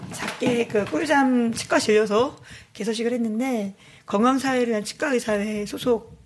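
A woman speaks in a somewhat breathy voice at a fairly high pitch. Her pace is moderate and her pitch variation ordinary. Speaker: shelter committee chair, labor activist. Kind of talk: interview. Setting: on location at the shelter.

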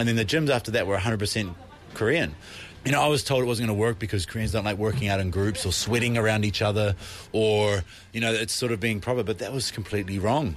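A man talks very fast with a New Zealand accent. His pitch is fairly low and his loudness stays very even. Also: ordinary pitch variation. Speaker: fitness entrepreneur and coach. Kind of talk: recorded interview.

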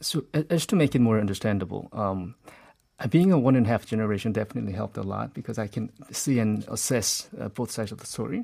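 Talking at a very fast pace, a man uses a medium pitch and a dark, mellow tone, with ordinary pitch variation and big swings in loudness. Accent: Korean. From South Korea. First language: Korean. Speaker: author. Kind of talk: interview. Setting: studio.

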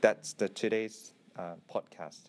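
A man talks with a Korean accent. His pitch varies in an ordinary way. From South Korea. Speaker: archaeologist. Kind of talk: scripted narration. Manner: halting.

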